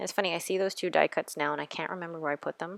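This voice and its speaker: A woman speaks with vocal fry. Her intonation stays fairly even. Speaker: planner youtuber. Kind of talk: voiceover tutorial. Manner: calm.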